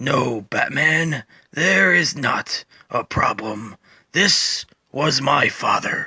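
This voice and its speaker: In a put-on character voice, a man speaks very slowly with a raspy sound. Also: fairly high pitch for a man. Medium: read story. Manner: slow, calm, detached.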